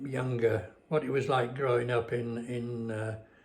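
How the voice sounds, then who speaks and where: Somewhat breathy, the man's voice moves at a fairly slow pace. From northern England, Westmorland (Cumbria). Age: 90s. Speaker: retired man recounting memories. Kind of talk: casual reminiscing monologue. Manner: halting, many fillers.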